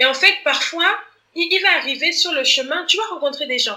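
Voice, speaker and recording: Her raised, projected voice carries lively intonation. The woman keeps a moderate pace. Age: 30s. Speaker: author and community manager. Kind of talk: interview conversation. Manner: hesitant, many repetitions.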